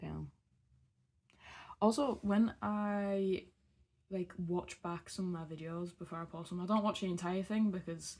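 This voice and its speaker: With a strong northeast English accent, a woman speaks at a medium pitch and fairly slow pace, with fairly even intonation and long, frequent pauses. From northeast England. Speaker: beauty vlogger. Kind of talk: casual chat while doing makeup. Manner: rambling, hesitant.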